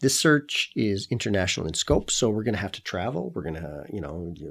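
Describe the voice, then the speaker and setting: This voice moves at a fairly quick pace in a Canadian accent, with very wide pitch swings and vocal fry. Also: man. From Canada. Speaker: wine podcast host. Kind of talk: solo podcast monologue.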